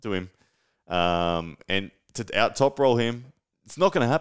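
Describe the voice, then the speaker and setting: In a very clean recording with a silent background, a man with an Australian accent speaks at a moderate pace with very wide pitch swings. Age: 30s. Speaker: arm wrestler and podcast host. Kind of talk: live-stream solo talk. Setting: home studio live stream. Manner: casual, animated.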